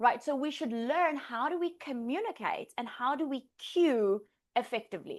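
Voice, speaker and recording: Animated in tone, a woman with a high pitch speaks at a moderate pace with very wide pitch swings. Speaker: Pilates instructor trainer. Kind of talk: lecture. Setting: live class, in-person and online.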